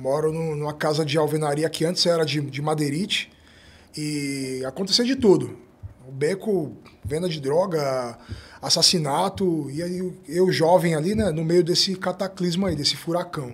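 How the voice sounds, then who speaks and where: Keeping a moderate pace, a man talks with a fairly high pitch that varies in an ordinary way. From São Paulo, south zone favela. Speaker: interview guest from the periphery; podcast guest. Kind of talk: interview testimony. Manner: halting with repetitions. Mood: reflective, calm. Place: studio. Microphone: studio mic.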